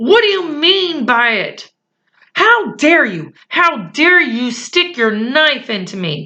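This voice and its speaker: Putting on a character voice, a woman speaks high in pitch at a fairly slow pace, her pitch swinging very widely. Her delivery mixes hissing and growling. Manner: hissing, furious.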